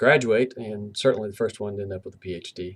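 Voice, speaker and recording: Fairly even intonation and a slight Southern US accent come through in a very clean recording with a silent background. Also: man. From US South, southwestern Virginia (Abingdon). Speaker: university professor. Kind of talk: lecture. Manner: casual, with fillers.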